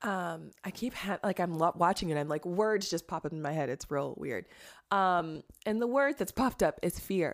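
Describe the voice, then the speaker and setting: A woman speaks at a moderate pace in a fairly low pitch with lively intonation, recorded very cleanly against a silent background. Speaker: podcast host and trauma counselor. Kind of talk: interview conversation with scripted intro.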